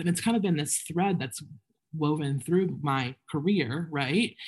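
A woman speaks with a very deep, low pitch and a somewhat breathy quality. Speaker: business owner. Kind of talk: panel discussion. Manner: fast talker when nervous.

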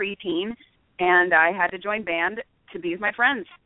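A woman with an American accent talks at a moderate pace and medium pitch. It is an ordinary speaking voice. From US Pacific Northwest (Seattle). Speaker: jazz singer and trombonist. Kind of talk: radio interview. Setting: phone call.

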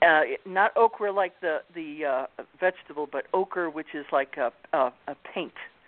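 Here a woman speaks with an American accent at a fairly low pitch. Her pace is fairly slow, with ordinary pitch variation. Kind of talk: interview conversation.

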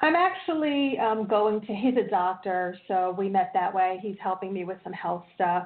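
A woman with an unremarkable speaking voice, at a medium pitch and moderate pace, with ordinary pitch variation and hardly any pauses. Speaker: caller seeking a reading. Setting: phone call.

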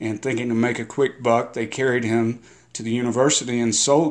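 Medium in pitch, this man uses a plain, everyday voice with fairly even intonation. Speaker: novelist. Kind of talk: guest intro about history.

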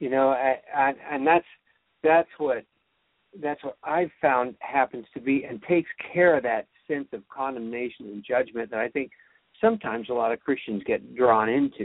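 At a moderate pace, a man with an American accent and a normal speaking voice talks in a medium pitch. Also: ordinary pitch variation. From California. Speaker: singer-songwriter, show host. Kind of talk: interview.

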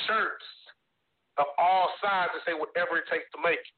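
A high-pitched man at a moderate pace. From Texas, Beaumont. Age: 20s. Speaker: author and youth mentor. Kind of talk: interview testimony. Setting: phone call.

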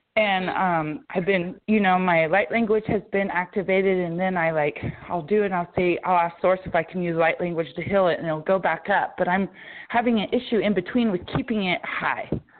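A woman with a normal speaking voice talks at a fairly quick pace. Her pitch is medium, with ordinary variation. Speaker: caller. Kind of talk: casual chat. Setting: phone call.

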